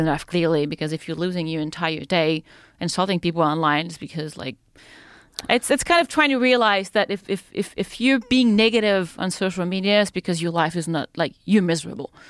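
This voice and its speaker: Lively in intonation, a woman speaks at a medium pitch and a fairly quick pace. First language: French. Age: 30s. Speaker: free-diver and spear-fisher. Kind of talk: casual chat. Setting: studio.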